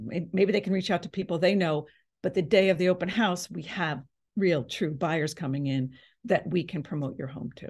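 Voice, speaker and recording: A woman speaks with a fairly low pitch, sounding somewhat breathy. Her pitch variation is ordinary, and the background is quiet. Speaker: real estate agent. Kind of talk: seminar presentation. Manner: fast.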